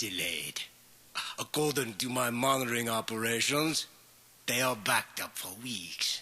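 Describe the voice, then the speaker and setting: Using a put-on character voice, a man talks at a moderate pace and medium pitch. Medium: audio drama.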